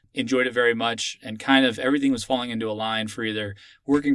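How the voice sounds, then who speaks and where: A man with an American accent has an unremarkable speaking voice, medium in pitch and fairly even in intonation, moving at a fairly quick pace on a very clean recording with a silent background. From Texas, Austin. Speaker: military officer. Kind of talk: interview.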